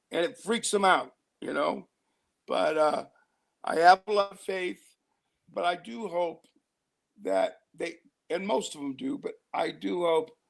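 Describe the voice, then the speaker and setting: A man speaks at a fairly slow pace with long, frequent pauses and big swings in loudness. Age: 60s. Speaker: interview guest. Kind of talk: casual interview chat.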